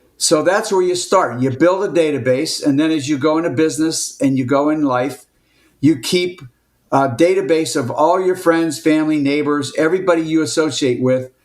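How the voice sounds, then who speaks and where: Audible room echo over speech at a moderate pace with ordinary pitch variation. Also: man, fairly high pitch for a man. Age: 70s. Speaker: entrepreneur. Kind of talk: interview.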